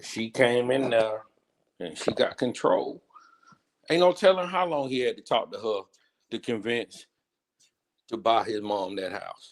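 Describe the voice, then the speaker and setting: Lively intonation at a fairly slow pace, with long, frequent pauses. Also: man, medium pitch for a man. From South Carolina. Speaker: sports podcast co-host. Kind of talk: casual chat. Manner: animated.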